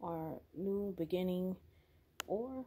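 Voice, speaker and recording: Her voice sits at a medium pitch for a woman and has a dark, mellow tone. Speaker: pet snake owner vlogger. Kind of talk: casual vlog narration. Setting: at home at night. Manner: soft-spoken.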